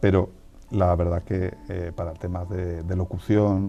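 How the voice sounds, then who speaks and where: Music plays in the background as a man talks with a very deep, low pitch and monotone, flat intonation. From Castile, Spain (Valladolid). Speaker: software engineer, writer and voice-over artist. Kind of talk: interview conversation.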